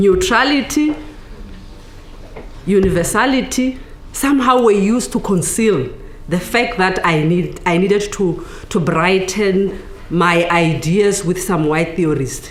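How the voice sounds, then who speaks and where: A woman of medium pitch talks at a fairly slow pace with long, frequent pauses, lively intonation and very even loudness, amid audible room echo and noticeable background noise. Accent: South African. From South Africa. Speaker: academic. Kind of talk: book launch talk. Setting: panel with audience.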